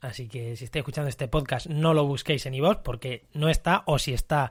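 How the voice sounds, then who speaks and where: Recorded very cleanly with a silent background, a man with a somewhat breathy, fairly high voice speaks fairly quickly with ordinary pitch variation. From Spain, La Mancha. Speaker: ecology podcast host. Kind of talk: solo podcast monologue. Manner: conversational, with frequent fillers and repetitions.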